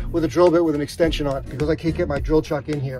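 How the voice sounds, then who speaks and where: Clear music plays in the background. The intonation stays fairly even. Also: man. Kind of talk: tutorial. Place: garden. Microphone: phone near.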